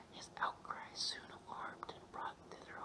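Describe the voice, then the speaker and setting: Noticeable background noise sits under the recording. A man whispers at a fairly slow pace. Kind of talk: audiobook reading. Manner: whispered; calm, soothing.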